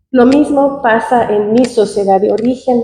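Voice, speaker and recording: Her tone dark and mellow, a woman speaks at a fairly slow pace with fairly even intonation. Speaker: audience member. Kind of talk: audience question at academic panel. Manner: halting.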